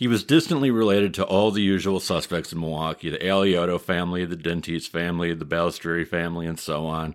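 A man with a Midwestern US accent talks at a fairly quick pace on a very clean recording with a silent background. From US Midwest. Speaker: historian and podcast host. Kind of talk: casual podcast storytelling.

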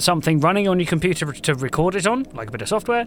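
A plain, everyday voice. The speaker moves at a fairly quick pace with lively intonation. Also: man. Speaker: audio equipment product specialist. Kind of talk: casual interview. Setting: booth at live podcast show.

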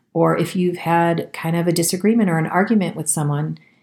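In a normal speaking voice, a woman talks at a fairly quick pace, fairly low in pitch with fairly even intonation. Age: 40s. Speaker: podcast host and health practitioner. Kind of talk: reflective wellness talk with guided practice; guided meditation. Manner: calm, gentle.

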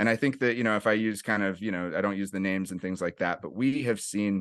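A man with an American accent, fairly low pitch and ordinary pitch variation, at a very fast pace against a quiet background. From US West Coast, San Francisco East Bay (Oakland/Berkeley). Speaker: nonprofit executive director, jiu-jitsu coach. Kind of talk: casual interview.

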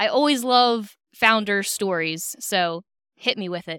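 Lively intonation and a bright, sharp tone come through on a very clean recording with a silent background. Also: woman. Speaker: podcast host, automotive executive. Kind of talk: casual interview. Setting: trade show floor. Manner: animated.

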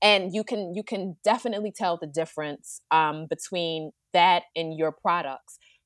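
A woman uses an ordinary speaking voice, fairly low in pitch with ordinary pitch variation, at a moderate pace with hardly any pauses. The sound is dry and close with no echo, over a quiet background. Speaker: podcast co-host and rental business owner. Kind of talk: casual interview.

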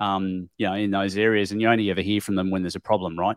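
Man with an Australian accent, fairly low-pitched, dry and close sound with no echo. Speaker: tile industry professional and podcaster. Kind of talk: casual interview. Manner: hesitant, many fillers.

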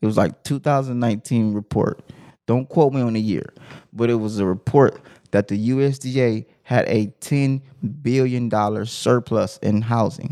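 This man's voice has a dark, mellow tone, a medium pitch and fairly even intonation. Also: moderate pace. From Compton, California. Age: 30s. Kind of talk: casual chat.

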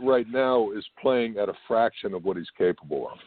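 A man at a moderate pace with lively intonation, a normal speaking voice. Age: 60s. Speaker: podcast host, former football player. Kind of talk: sports podcast discussion.

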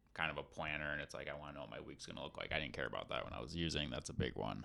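A man's voice with vocal fry. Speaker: recovering alcoholic, life coach. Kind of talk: casual chat.

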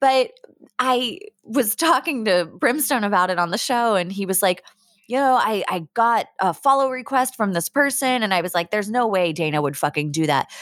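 A woman with an American accent at a fairly high pitch, moderate pace and very wide pitch swings. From Pittsburgh, US. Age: 30s. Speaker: podcaster. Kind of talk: casual chat. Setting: video call.

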